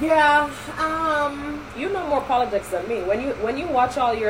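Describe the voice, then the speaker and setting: A woman speaks at a fairly slow pace in an animated tone, with noticeable background noise. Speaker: podcast host. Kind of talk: casual chat. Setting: recording a podcast. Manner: animated, teasing.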